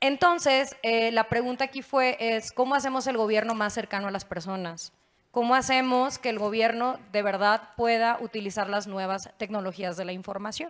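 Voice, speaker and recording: This woman has an unremarkable speaking voice with a fairly high pitch and ordinary pitch variation. She talks at a moderate pace with hardly any pauses. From Mexico, Nuevo León. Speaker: state legislator; panelist. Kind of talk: panel discussion. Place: stage. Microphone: handheld.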